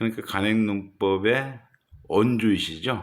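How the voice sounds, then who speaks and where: Here a man speaks at a very slow pace. His pitch varies in an ordinary way. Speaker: farmer. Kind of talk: introduction to camera.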